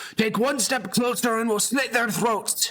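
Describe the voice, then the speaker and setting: A man puts on a gruff character voice pitched extremely high. He speaks at a moderate pace. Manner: menacing, threatening.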